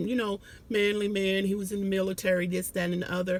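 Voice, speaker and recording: Speaking in an American accent, a woman uses a medium pitch. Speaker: vlogger. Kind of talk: casual monologue. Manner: halting.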